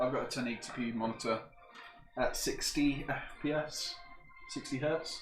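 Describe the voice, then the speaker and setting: A man with a northern English accent, fairly high pitch and fairly even intonation, at a moderate pace with long, frequent pauses, amid audible room echo and noticeable background noise. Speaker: PC builder streamer. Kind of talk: casual chat. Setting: live stream.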